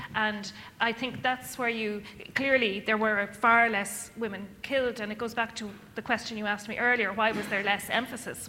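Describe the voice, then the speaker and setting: A woman with an Irish accent speaks at a fairly quick pace in a fairly high voice, her intonation fairly even. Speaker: academic author. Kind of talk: panel discussion. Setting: stage with audience.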